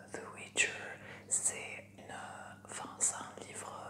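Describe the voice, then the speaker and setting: A woman whispers over noticeable background noise. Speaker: ASMR creator. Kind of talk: casual intro to camera. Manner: whispered, soft.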